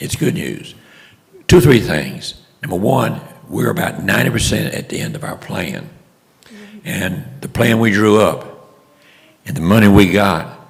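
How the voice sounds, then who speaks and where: With a Louisiana accent, a man speaks at a fairly low pitch with very wide pitch swings, amid noticeable background noise and audible room echo. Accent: Southern US (Louisiana). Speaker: local project leader giving update. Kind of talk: public meeting report. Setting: city commission meeting room.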